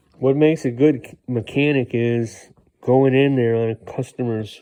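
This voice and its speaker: A man's medium-pitched, dark and mellow voice with an American accent and monotone, flat intonation, over a quiet background. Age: 60s. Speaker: mechanic. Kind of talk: casual tool talk vlog. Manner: rambling with repetitions and fillers.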